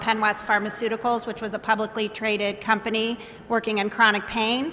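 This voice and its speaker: A woman with a fairly high pitch talks at a fairly quick pace in a monotone, flat way over noticeable background noise. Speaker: biotech company CEO. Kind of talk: panel discussion.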